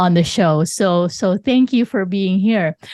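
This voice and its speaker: A woman with a Filipino accent speaks at a moderate pace with ordinary pitch variation, in a dry, close sound with no echo against a quiet background. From Philippines. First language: Tagalog. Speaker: podcast host. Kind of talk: interview.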